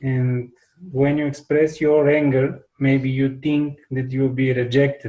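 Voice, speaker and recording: A man with a non-native accent, at a medium pitch and a fairly slow pace, with a dark, mellow tone, monotone, flat intonation and long, frequent pauses. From Bulgaria. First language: Bulgarian. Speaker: workshop participant. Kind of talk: group chat. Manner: halting.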